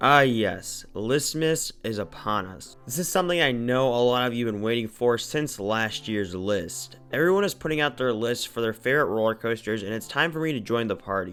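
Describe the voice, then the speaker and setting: Over background music, a man at medium pitch speaks with lively intonation at a moderate pace, barely pausing. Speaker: roller coaster reviewer. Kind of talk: enthusiast ranking video narration.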